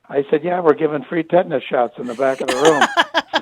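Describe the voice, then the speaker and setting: A man speaks in a normal speaking voice at a fairly high pitch, with ordinary pitch variation. The sound is dry and close with no echo. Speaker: retired sports broadcaster. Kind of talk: interview answer. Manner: conversational, warm, reflective.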